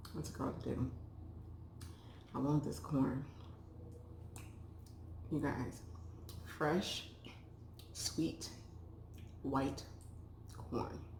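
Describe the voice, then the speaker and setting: Soft-spoken and relaxed in tone, a woman speaks very slowly with a very deep, low pitch, vocal fry, very wide pitch swings and long, frequent pauses. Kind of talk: mukbang eating show, casual talk to camera. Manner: soft-spoken, relaxed.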